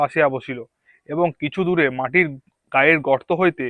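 A man's fairly high voice, a normal speaking voice with ordinary pitch variation. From West Bengal, Purba Bardhaman. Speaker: YouTuber reading a novel aloud. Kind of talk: reading aloud. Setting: outdoors among green bushes.

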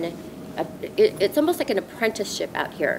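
A woman speaks with an American accent against noticeable background noise. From Southern California. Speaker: former investment banker, scholarship fund board member. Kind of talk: interview. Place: garden.

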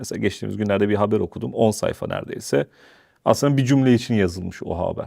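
A man's fairly low voice carries a dark, mellow tone. His intonation is lively. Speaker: interview show host. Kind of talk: interview. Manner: formal.

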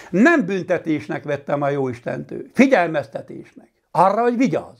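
His pitch swinging very widely, a man talks at a moderate pace over a quiet background. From Hungary, Palóc region (Nógrád); Hungary. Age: 60s. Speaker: master carpenter. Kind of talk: personal testimony. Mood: earnest, reflective. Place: home room. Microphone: lapel.

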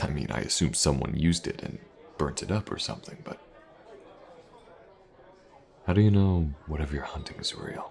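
A man puts on a character voice at extremely low pitch, with a slightly husky edge, vocal fry and a slightly mellow tone, moving at a moderate pace with lively intonation and long, frequent pauses.

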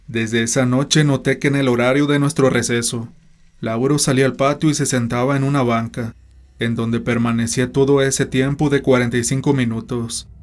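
The delivery has a dramatic tone, very even loudness and fairly even intonation. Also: man, medium pitch for a man. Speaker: horror story narrator. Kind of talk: horror story narration, first-person read-aloud. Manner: suspenseful, dramatic, slow-paced storytelling; grave, tense tone.

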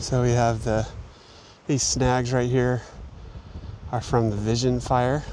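Over light background noise, a man speaks fairly slowly in a monotone, flat intonation, the sound dry with no echo. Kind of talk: nature commentary. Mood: calm, explanatory. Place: open country.

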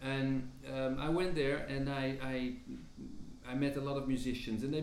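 A man is heard with audible room echo and light noise in the background. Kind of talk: interview answer. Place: home room.

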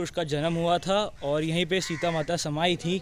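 A man speaks at a fairly slow pace and high pitch. The sound is dry with no echo, and light background noise is present. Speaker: travel vlogger. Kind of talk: casual vlog chat. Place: garden. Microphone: phone near.

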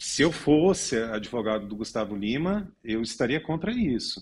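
With a Brazilian accent, a man talks at a moderate pace and medium pitch on a very clean recording with a silent background. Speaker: lawyer. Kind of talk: news panel commentary.

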